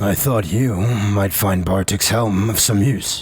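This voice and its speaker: Over clear background noise, a man puts on a character voice, speaking fairly slowly at a fairly low pitch. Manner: commanding, threatening.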